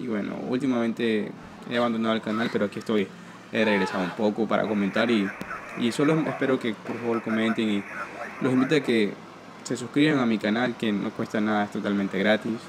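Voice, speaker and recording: Against noticeable background noise, a man at medium pitch speaks at a fairly quick pace with fairly even intonation. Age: 20s. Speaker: gaming youtuber; gamer commentator. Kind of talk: gameplay commentary. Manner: casual, rambling with filler words. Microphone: poor recording quality.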